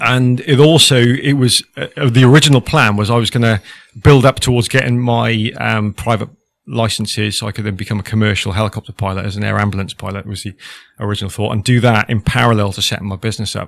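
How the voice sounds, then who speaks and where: A man with a Welsh accent talks at a very fast pace, his fairly low pitch varying in an ordinary way. The recording is very clean with a silent background and a dry, close sound with no echo. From Wales (Cardiff, the valleys). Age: 40s. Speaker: former military helicopter pilot, business owner. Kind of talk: podcast interview. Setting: hot studio.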